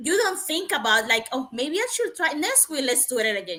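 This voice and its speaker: A woman with a non-native accent raises and projects her voice, its tone bright and sharp. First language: not English. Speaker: nurse and webinar panelist. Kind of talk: casual panel discussion.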